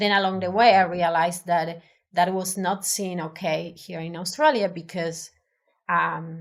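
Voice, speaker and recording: A woman's fairly low voice in an Argentine accent, with fairly even intonation and big swings in loudness. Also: fairly slow pace. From Argentina. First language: Spanish. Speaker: designer. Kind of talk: interview. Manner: halting.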